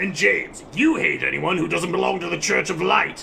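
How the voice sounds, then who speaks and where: A man performs a put-on character voice at a moderate pace. Clear background noise is present. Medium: machinima. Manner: haughty, contemptuous.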